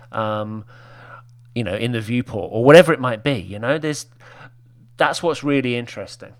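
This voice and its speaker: A man with a medium pitch and ordinary pitch variation speaks at a fairly quick pace, broken by long, frequent pauses. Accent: British. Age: 50s. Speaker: web designer. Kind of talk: casual chat.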